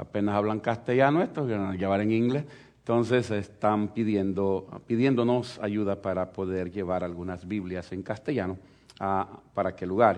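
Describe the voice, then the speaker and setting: Moderate pace from a man with a fairly low pitch and ordinary pitch variation. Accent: Salvadoran. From El Salvador. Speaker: pastor. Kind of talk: sermon.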